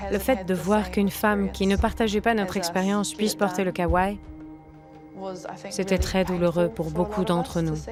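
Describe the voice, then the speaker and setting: A woman at a moderate pace, with long, frequent pauses, very even loudness and music in the background. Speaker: voice actress. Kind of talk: documentary voice-over dub. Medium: dub.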